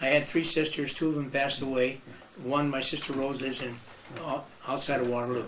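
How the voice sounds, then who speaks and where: Amid noticeable background noise and audible room echo, a man with an American accent speaks fairly quickly in a flat monotone at a medium pitch. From Iowa, US Midwest. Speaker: musician and band leader. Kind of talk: oral history interview. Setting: video interview.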